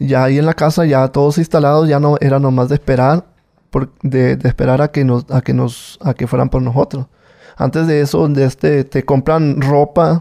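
In a quiet setting, a man with a dark, mellow tone and a fairly high voice speaks at a moderate pace with ordinary pitch variation. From Mexico, Culiacán, Sinaloa. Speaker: former drug mule. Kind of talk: testimony. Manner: halting, many repetitions. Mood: calm storytelling. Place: studio. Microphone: studio mic.

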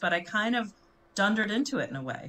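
A woman with an American accent, bright and sharp in tone, with lively intonation at a fairly quick pace. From US Midwest, Chicago. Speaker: branding and communications consultant; interview guest. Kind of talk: interview conversation. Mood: relaxed, reflective. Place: home room.

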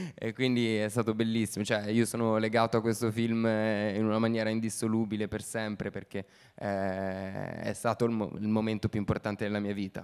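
The man's voice is fairly low and flat, in a monotone. The background stays quiet. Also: fairly quick pace. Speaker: actor. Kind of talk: festival Q&A talk. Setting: stage with audience. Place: stage. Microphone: handheld.

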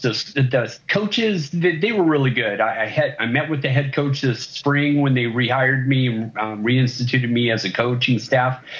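A man talks at a moderate pace. His loudness stays very even, with ordinary pitch variation. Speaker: remote interview guest. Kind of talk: interview answer. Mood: earnest, a bit indignant. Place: home room. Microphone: video call.

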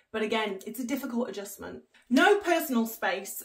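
The background stays quiet. A woman talks. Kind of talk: casual vlog chat. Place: home room.

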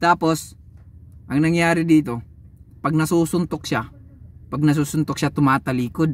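At a moderate pace, a man speaks with long, frequent pauses in a dry sound with no echo. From Philippines. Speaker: YouTube boxing commentator vlogger. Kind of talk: casual fight recap and trash talk. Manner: animated, mocking, laughing. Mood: animated, mocking, exasperated. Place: car. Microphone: phone near.

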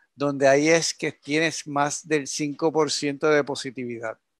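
A man's fairly high-pitched voice with a Puerto Rican accent, in a dry, close sound with no echo. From Puerto Rico, Yauco. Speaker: scientist researcher. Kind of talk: expert interview explaining data.

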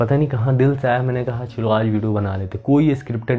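A man speaks over faint music in the background. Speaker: fitness vlogger. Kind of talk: motivational talk to camera. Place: home room. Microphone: camera far.

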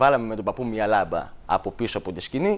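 Moderately paced male speech full of very wide pitch swings. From Greece, Thessaly (Volos); Greece. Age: 20s. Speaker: shadow puppeteer; guest. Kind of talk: TV interview. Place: studio. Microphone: lapel.

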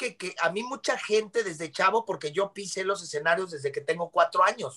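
A man with a Mexican accent, high pitch and an animated tone, at a moderate pace with ordinary pitch variation over a quiet background. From Mexico. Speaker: actor and singer. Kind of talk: casual chat. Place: home room. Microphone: video call.

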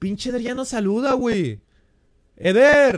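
Moderate-paced male speech over a quiet background. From Mexico, Jalisco. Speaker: gaming streamer. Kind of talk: live game stream chat. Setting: live stream. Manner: animated. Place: home room. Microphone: headset.

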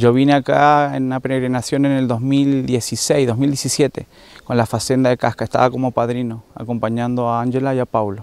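A man speaks at a moderate pace in a medium pitch, his intonation flat and monotone, with a dry sound and no echo. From Argentina. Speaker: rehab community leader. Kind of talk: testimony. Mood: grateful, warm. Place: garden. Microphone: handheld.

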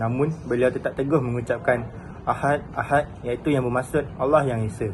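A man with an ordinary speaking voice, fairly even intonation and a moderate pace. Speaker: student. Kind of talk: class presentation.

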